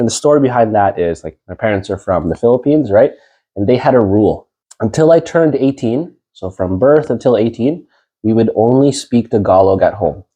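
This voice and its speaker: In a plain, everyday voice, a man with a Canadian accent talks at medium pitch, a fairly quick pace and lively intonation. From Winnipeg, Canada. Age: young. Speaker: real estate investor and coach. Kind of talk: interview. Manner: casual, many fillers.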